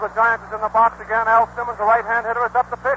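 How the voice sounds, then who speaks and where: The speaker has an American accent and talks at a very fast pace. Noticeable background noise can be heard. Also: man. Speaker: radio sports announcer. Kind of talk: live radio baseball play-by-play commentary. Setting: vintage 1930s radio broadcast recording from a stadium. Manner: excited, rapid-fire, enthusiastic.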